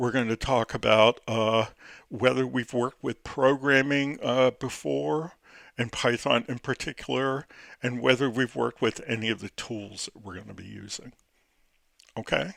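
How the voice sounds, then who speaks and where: A man's vocal fry with ordinary pitch variation, big swings in loudness and a dry, close sound with no echo. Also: medium pitch for a man, very clean recording, silent background. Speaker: college instructor. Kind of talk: recorded lecture. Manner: slow; halting, many fillers.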